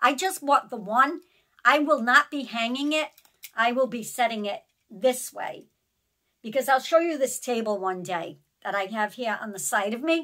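A woman talks in a high pitch with a bright, sharp tone and lively intonation. She moves at a moderate pace with big swings in loudness over a quiet background. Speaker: haul vlogger. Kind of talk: casual vlog chat. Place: home room. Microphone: phone near.

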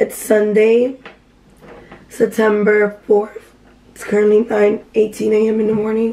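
A woman with an American accent and a fairly high pitch, fairly slow with long, frequent pauses, monotone and flat in intonation, with big swings in loudness over noticeable background noise. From Miami, Florida. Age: 20s. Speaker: vlogger. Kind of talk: casual vlog talk. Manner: casual, filler-heavy.

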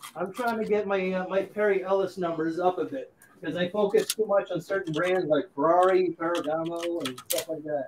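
A man with a high voice talks at a fairly quick pace in fairly even intonation over noticeable background noise. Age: 40s. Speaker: fragrance YouTuber. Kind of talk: casual chat.

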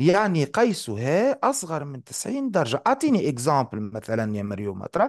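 Against a quiet background, a man with a fairly high pitch talks at a fairly quick pace with hardly any pauses, very wide pitch swings and big swings in loudness. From Tunisia. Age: 40s. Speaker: math teacher. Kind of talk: live online lesson. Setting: live online class.

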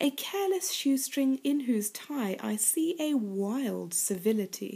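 A woman with a British accent, a dark, mellow tone, a somewhat breathy quality, lively intonation, and a very slow pace. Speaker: poetry reader and commentator. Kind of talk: poetry reading. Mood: playful, expressive. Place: home room. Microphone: webcam.

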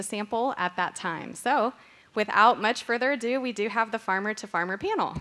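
Speaking at a fairly quick pace, a woman uses ordinary pitch variation. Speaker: panel moderator. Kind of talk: event announcements and introductions. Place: hall. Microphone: podium.

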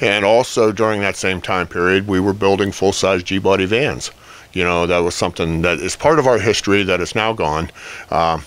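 In a dry sound with no echo, a man speaks at a fairly quick pace. His pitch is very deep and low, with ordinary variation. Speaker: guest. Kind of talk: interview answer. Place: office. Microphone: handheld.

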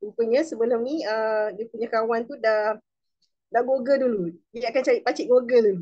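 Over a quiet background, a woman with a Malaysian accent speaks at a fairly slow pace with ordinary pitch variation. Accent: Malaysian Malay. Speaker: direct sales supervisor. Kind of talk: testimony. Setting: video call. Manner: animated. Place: home room. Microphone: video call.

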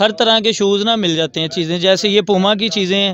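A man's high voice with a fairly bright tone, a fairly quick pace and ordinary pitch variation

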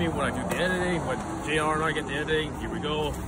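Loud background noise sits behind the speech. The speaker is a man. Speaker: food reviewer. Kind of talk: casual vlog chat. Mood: joking, mildly complaining. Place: street. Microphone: phone near.

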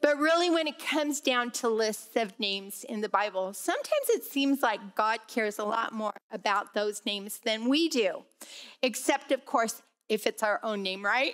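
The woman's pitch varies in an ordinary way as she speaks at a moderate pace over a quiet background. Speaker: Bible class teacher. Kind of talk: lecture. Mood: light, joking. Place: hall.

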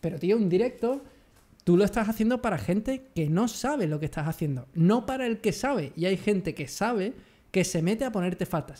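A man's voice sits at a high pitch, with a dark, mellow tone. He speaks at a fairly quick pace with lively intonation. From Andalusia, Jerez de la Frontera (Cádiz); Andalusia. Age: 30s. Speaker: photography youtuber. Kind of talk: casual chat. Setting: video call. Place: home room. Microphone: studio mic.

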